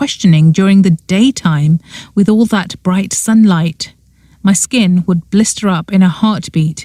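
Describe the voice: Ordinary pitch movement in plain reading aloud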